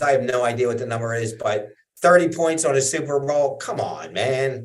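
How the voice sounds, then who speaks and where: A man with a plain, everyday voice talks at a fairly quick pace, with medium pitch and ordinary pitch variation. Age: 60s. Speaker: trading coach. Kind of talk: casual chat.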